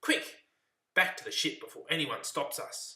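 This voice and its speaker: A man's put-on character voice, extremely high in pitch, raised and projected, at a moderate pace. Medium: read story.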